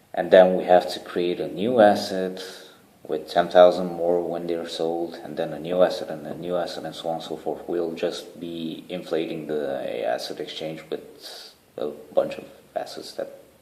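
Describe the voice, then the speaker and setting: There is audible room echo as a man speaks at a moderate pace, with big swings in loudness. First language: not English (third language). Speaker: charity founder. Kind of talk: video proposal to online community. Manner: casual, hesitant with fillers.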